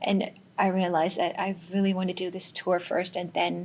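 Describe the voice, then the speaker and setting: A woman speaks at a moderate pace in a medium pitch. Her voice is somewhat breathy, with monotone, flat intonation. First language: Finnish. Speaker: singer-songwriter and musician. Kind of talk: interview.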